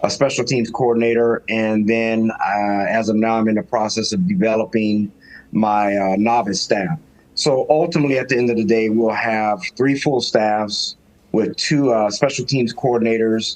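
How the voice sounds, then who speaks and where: A man in a normal speaking voice talks at a medium pitch and a moderate pace, with ordinary pitch variation. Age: 60s. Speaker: high school football coach. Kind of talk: podcast interview.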